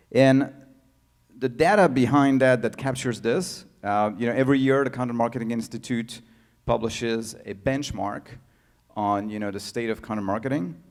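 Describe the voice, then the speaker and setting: A man with a French accent speaks at a moderate pace and medium pitch with ordinary pitch variation, in a very clean recording with a silent background. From France. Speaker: tech founder and CEO. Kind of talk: conference talk. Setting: stage with audience. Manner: halting, many fillers.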